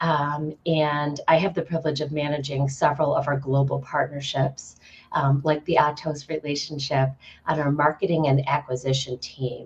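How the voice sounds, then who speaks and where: The voice is somewhat breathy, moving at a moderate pace in monotone, flat intonation. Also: woman, very deep, low pitch for a woman. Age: 40s. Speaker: nonprofit partnerships director. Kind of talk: panel introduction.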